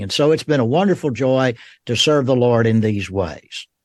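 A man speaks with a Southern US accent and ordinary pitch variation against a quiet background. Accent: Southern American. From US South, Georgia (Rome). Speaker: theology professor. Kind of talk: interview.

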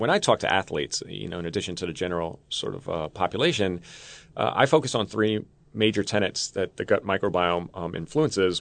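With an American accent, a man with a very deep, low pitch talks at a fairly quick pace with lively intonation over a quiet background. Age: 30s. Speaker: scientist, former college basketball player. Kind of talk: interview.

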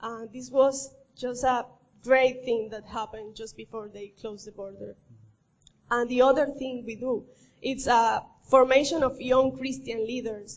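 In a Colombian accent, the speaker keeps a monotone, flat intonation at a moderate pace while the loudness swings widely. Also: woman, high pitch for a woman. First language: Spanish. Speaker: missionary. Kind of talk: church presentation. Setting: church.

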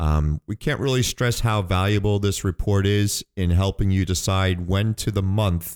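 In a normal speaking voice, a man talks at fairly low pitch with ordinary pitch variation, the sound dry and close with no echo on a very clean recording with a silent background. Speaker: financial advisor radio host. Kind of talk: radio show discussion.

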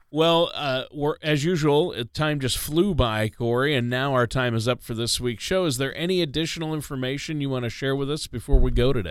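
In a normal speaking voice, a man with fairly high pitch and ordinary pitch variation talks at a fairly quick pace with hardly any pauses. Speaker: radio co-host. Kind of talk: radio talk show. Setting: studio.

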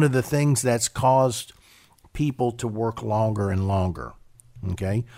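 A man is speaking. He goes at a moderate pace. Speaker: financial advisor radio host. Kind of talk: casual chat. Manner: conversational, hesitant with fillers.

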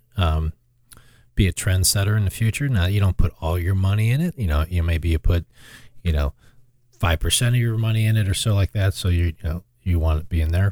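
A very deep, low male voice, somewhat breathy, at a fairly quick pace with ordinary pitch variation, on a very clean recording with a silent background. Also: dry, close sound with no echo. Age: 50s. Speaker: financial advisor. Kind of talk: casual chat.

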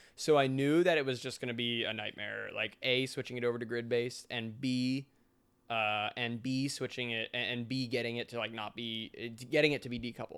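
At a medium pitch, a man uses a normal speaking voice with fairly even intonation and a fairly quick pace. The recording is very clean, with a silent background. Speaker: software developer and indie game maker. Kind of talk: casual interview chat.

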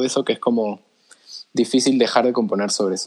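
A man is speaking at a medium pitch. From Peru. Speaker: singer-songwriter. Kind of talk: interview. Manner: halting, many fillers.

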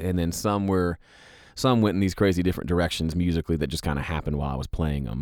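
A man with a very deep, low pitch speaks at a very fast pace with an American accent and ordinary pitch variation. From US South, Mississippi. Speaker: songwriter and producer. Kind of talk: casual chat.

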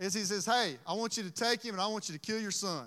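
A man with a Southern US accent, a raised, projected voice, high pitch, bright, sharp tone, ordinary pitch variation and a fairly quick pace, in a very clean recording with a silent background. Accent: Southern US (Georgia). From US South, Georgia (Dublin). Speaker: preacher. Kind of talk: sermon.

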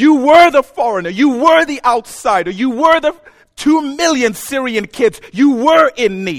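A man speaks at an extremely high pitch with lively intonation. His pace is fairly slow, and the sound is dry and close with no echo. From Zambia. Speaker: pastor. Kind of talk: sermon. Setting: church.

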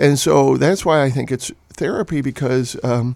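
This man talks at a moderate pace with a Chicago accent and a medium pitch. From Chicago area, Illinois. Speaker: novelist. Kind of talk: interview. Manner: halting.

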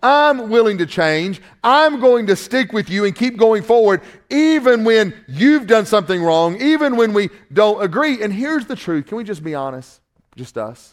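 With a Southern US accent, a man talks at a high pitch with very wide pitch swings, on a very clean recording with a silent background. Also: moderate pace. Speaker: pastor. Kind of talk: sermon. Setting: church with congregation. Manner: halting.

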